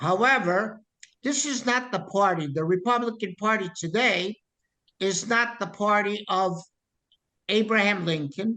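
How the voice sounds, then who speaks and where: A man speaks in a raised, projected voice with a high pitch. His tone is bright and sharp, and his pitch moves in an ordinary way. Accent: American. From US. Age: 70s. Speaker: political activist. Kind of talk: interview. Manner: animated.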